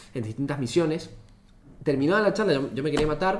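A man with lively intonation, in audible room echo. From Argentina, Mendoza. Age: 20s. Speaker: engineering student and startup founder. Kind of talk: casual chat.

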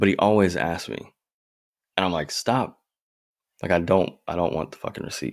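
With vocal fry and a very deep, low pitch, a man speaks at a moderate pace with ordinary pitch variation and long, frequent pauses. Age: 20s. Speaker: podcast co-host. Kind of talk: casual chat.

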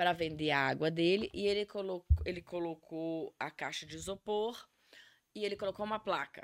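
A woman talks in a normal speaking voice, fairly low in pitch, with fairly even intonation at a moderate pace. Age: 40s. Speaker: life coach. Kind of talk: interview.

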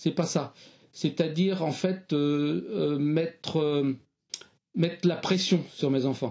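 Very slow delivery with long, frequent pauses, very even loudness and ordinary pitch variation. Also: man, fairly high pitch for a man. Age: 60s. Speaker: retired primary school teacher. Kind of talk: interview.

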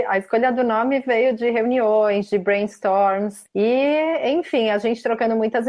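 A woman's plain, everyday voice, fairly high-pitched, with ordinary pitch variation at a fairly slow pace. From Brazil, São Paulo state. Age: 30s. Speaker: tennis blogger. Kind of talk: casual interview.

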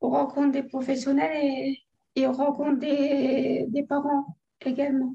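Music plays behind a woman with a high pitch who speaks at a very slow pace. Her intonation is fairly even and her loudness very even. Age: 30s. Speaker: stroke survivor. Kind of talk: testimony.

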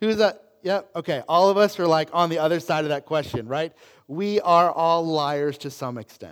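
A man's high, animated voice with ordinary pitch variation and a moderate pace, in a very clean recording with a silent background. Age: 30s. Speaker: pastor. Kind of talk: sermon. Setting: church.

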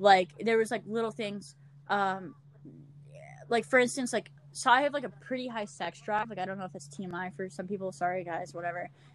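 A normal speaking voice from a woman of medium pitch with an American accent, fairly quick, with ordinary pitch variation and big swings in loudness. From Louisiana, US. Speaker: podcaster. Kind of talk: casual chat. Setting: remote call.

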